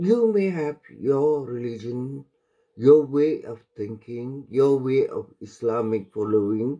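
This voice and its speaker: A man's dark, mellow tone at a very slow pace. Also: medium pitch for a man, ordinary pitch variation. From Malaysia. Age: 70s. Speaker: vlogger. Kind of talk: opinion monologue. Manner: halting.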